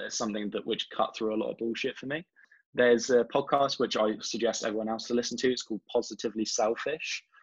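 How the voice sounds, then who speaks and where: At a very fast pace, a man with an English accent speaks at medium pitch with fairly even intonation. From England. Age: 20s. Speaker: marketing director. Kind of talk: podcast interview.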